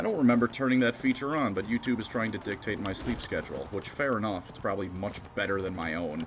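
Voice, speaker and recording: A man at a fairly low pitch with ordinary pitch variation, going at a very fast pace with hardly any pauses, amid noticeable background noise. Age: 20s. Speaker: gaming streamer. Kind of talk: live gameplay stream chat.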